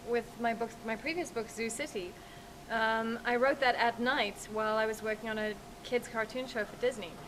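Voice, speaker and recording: A woman at a fairly quick pace, fairly even in intonation, with noticeable background noise. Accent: American. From South Africa. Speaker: author. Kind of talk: interview.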